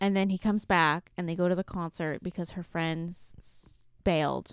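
At a moderate pace, a woman uses an ordinary speaking voice of medium pitch, recorded very cleanly with a silent background and a dry, close sound with no echo. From Canada. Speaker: book podcast co-host. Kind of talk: casual chat.

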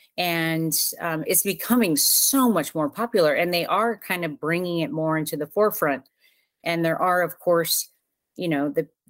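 A woman with an American accent has a normal speaking voice at a fairly low pitch. She talks at a moderate pace with lively intonation. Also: very clean recording, silent background. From Southern California. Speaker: recovery advocate and podcaster. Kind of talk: interview.

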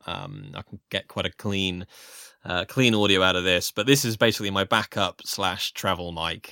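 Recorded very cleanly against a silent background in a dry, close sound with no echo, a man with a British accent talks at a moderate pace in a bright, sharp tone. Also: fairly low pitch for a man, ordinary pitch variation. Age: 30s. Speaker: voiceover artist. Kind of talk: casual interview.

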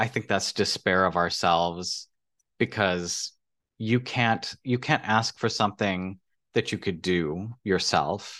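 There is a quiet background as a man speaks with an American accent at a very slow pace. His tone is bright and sharp. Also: fairly low pitch for a man, ordinary pitch variation, very even loudness. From US-Mexico border Texas, Laredo. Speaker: health policy advisor. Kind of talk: casual interview chat. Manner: halting, many restarts.

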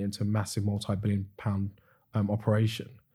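Speaking very fast in a British accent, the voice has a dark, mellow tone and is somewhat breathy. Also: man, very clean recording, silent background. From UK. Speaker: business founder. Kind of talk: podcast interview.

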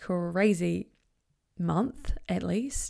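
Speaking very slowly with a New Zealand accent, a woman is heard in a very clean recording with a silent background. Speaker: podcast host, confidence coach. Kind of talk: solo podcast monologue. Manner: animated.

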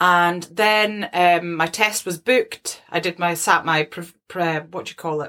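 A woman's fairly low voice with a Scottish accent and a bright, sharp tone. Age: 30s. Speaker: podcast co-host. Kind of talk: casual chat.

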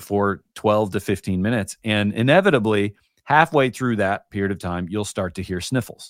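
A man speaks at a fairly low pitch and a moderate pace with ordinary pitch variation. The recording is very clean with a silent background and a dry, close sound with no echo. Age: 40s. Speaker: journaling teacher, former creative executive. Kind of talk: casual chat. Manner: halting.

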